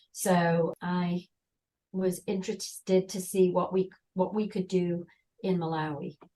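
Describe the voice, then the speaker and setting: Her intonation fairly even, a woman talks in a British accent. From England. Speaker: volunteer. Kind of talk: interview.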